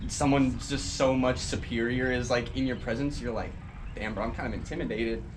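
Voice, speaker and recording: Talking at a fairly quick pace, a man with a medium pitch and fairly even intonation is heard over noticeable background noise and audible room echo. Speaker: podcast host. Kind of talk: casual chat.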